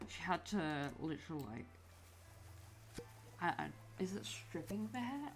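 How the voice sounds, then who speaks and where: A woman talks with vocal fry. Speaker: gaming video creator. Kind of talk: casual gaming commentary. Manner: slurred words run together; rambling, hesitant.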